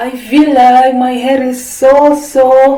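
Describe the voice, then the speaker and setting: A woman's high-pitched voice with an Indonesian accent, very slow and monotone, over noticeable background noise. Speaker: beauty product vlogger. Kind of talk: product review. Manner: casual, halting non-native English.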